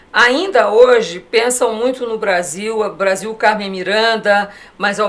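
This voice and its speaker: Over noticeable background noise, a woman talks at a very slow pace with fairly even intonation and a fairly high pitch. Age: 60s. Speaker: design association president. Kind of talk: TV interview. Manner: hesitant, many fillers.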